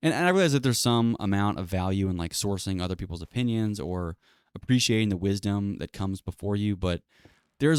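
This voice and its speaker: A man at a very fast pace and fairly low pitch, ordinary pitch variation, dry, close sound with no echo. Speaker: podcaster. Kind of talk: casual solo monologue.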